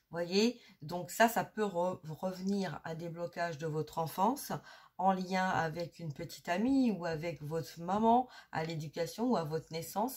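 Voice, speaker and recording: A somewhat breathy woman speaks at a fairly low pitch and a fairly slow pace, with ordinary pitch variation. The recording is very clean, with a silent background. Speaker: energy healer and medium. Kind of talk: spiritual guidance talk. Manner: hesitant, many filler sounds; soft-spoken during healing.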